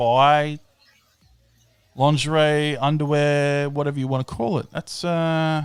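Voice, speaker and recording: At a moderate pace, a man with an Australian accent talks in a fairly high pitch. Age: 30s. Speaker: live-stream host. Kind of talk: casual chat. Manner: animated.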